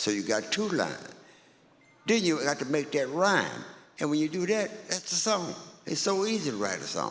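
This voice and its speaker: Against noticeable background noise, a man with a fairly high pitch and very wide pitch swings speaks at a moderate pace with long, frequent pauses and very even loudness. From Louisiana. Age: 80s+. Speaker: blues musician. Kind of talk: interview.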